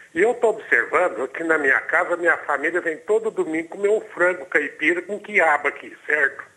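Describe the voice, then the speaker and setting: Barely pausing, a man with a high pitch and a bright, sharp tone speaks at a moderate pace with ordinary pitch variation. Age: 60s. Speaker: caller. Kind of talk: phone-in question. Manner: halting.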